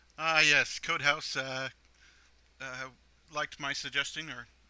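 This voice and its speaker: Monotone and flat in intonation, a man speaks with a fairly high pitch. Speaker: programmer. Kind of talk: screen-recorded coding tutorial. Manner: hesitant, many fillers.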